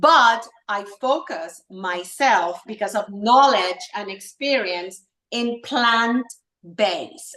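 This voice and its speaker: She speaks at a very slow pace with a fairly high pitch. The woman has a slight Puerto Rican accent. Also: lively intonation. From Puerto Rico. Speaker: wellness entrepreneur and esthetician. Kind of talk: casual interview chat. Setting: live stream video call. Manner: halting, many fillers.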